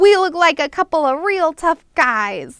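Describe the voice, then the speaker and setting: A gruff, put-on character voice with lively intonation moves at a moderate pace in a very clean recording with a silent background and a dry, close sound with no echo. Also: woman, extremely high pitch for a woman. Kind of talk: tough guy voice. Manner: gruff, tough.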